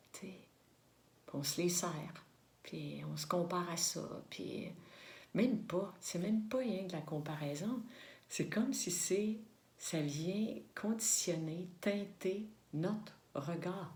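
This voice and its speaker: In a Quebec accent, a woman speaks very slowly at a fairly low pitch with vocal fry, ordinary pitch variation and long, frequent pauses, with audible room echo. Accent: Québécois French. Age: 60s. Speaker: spiritual vlogger. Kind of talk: reflective monologue to camera. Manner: halting, many fillers and repetitions.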